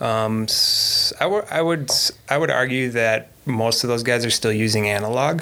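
Noticeable background noise runs under a speaker with an American accent who talks at a moderate pace with ordinary pitch variation and very even loudness. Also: man, medium pitch for a man. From Minnesota, US. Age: 30s. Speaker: FPV drone pilot. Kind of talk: casual chat.

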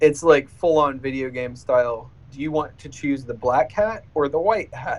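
A plain, everyday voice talks at a moderate pace with ordinary pitch variation. The loudness swings widely. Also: man, fairly high pitch for a man. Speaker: podcast host. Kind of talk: casual chat.

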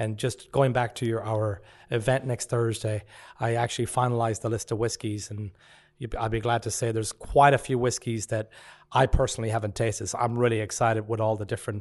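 A man with a western Irish accent speaks at a fairly quick pace and medium pitch in a monotone, flat way over a quiet background. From West of Ireland, rural. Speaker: pub owner. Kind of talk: casual interview chat. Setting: studio.

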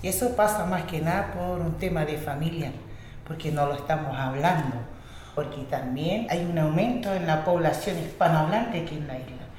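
A woman with a fairly low voice speaks amid noticeable background noise and audible room echo. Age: 40s. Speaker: language teacher, academy director. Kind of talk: interview testimony.

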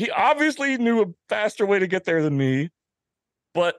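A man speaks with very wide pitch swings. The sound is dry and close, with no echo. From Washington, D.C. suburbs (Arlington, Virginia). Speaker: motorcycle magazine publisher. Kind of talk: casual interview conversation.

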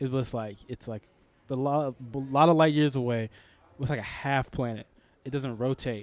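With an American accent, a man speaks at a moderate pace in a medium-pitched, ordinary speaking voice with fairly even intonation. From Texas, Houston. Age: 20s. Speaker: comedian. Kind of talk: casual chat. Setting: pub.

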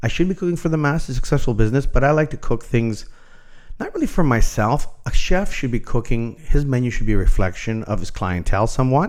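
Talking at a very fast pace, a man with a Canadian accent uses lively intonation at medium pitch. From Toronto, Canada. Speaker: chef. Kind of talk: interview.

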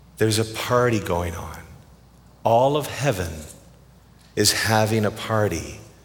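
Speaking at a fairly slow pace with long, frequent pauses, a man with a Canadian accent uses ordinary pitch variation in a room with audible echo. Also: fairly low pitch for a man. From Canada. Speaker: pastor. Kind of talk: sermon.

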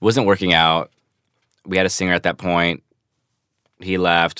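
A man with an American accent speaks at a fairly slow pace in a very deep, low voice, his flat, monotone delivery carrying a bright, sharp tone over a dry, close sound with no echo and a very clean recording with a silent background. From Los Angeles, US West Coast. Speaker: rock musician. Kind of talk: interview. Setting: studio.

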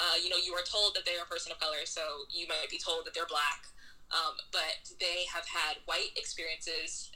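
Noticeable background noise sits behind a woman with an American accent. She speaks at a moderate pace. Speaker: novelist. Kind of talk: interview. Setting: remote call.

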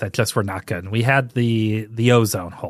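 Against a quiet background, a man talks at a medium pitch with an American accent. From US Midwest, St. Louis, Missouri. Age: 40s. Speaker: podcast host. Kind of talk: casual solo podcast monologue.

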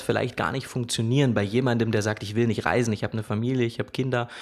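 Here a man speaks at a medium pitch. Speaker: wedding photographer. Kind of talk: casual chat.

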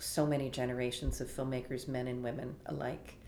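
In a Canadian accent, a woman with a very deep, low pitch and vocal fry speaks fairly quickly in a monotone, flat intonation, with audible room echo. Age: 60s. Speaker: film festival executive. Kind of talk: interview.

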